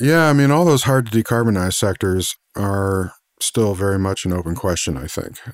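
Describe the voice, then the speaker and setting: A man speaks at a moderate pace in a plain, everyday voice, fairly low in pitch with lively intonation, on a very clean recording with a silent background. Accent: American. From Missouri, US. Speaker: podcast host, energy analyst. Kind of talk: interview conversation.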